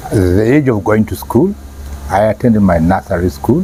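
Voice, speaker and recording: With very wide pitch swings, a man with a fairly low pitch speaks at a fairly slow pace over noticeable background noise. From Kenya, Nairobi. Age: 70s. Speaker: parent sharing life experience. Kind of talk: interview. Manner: halting, repeats words.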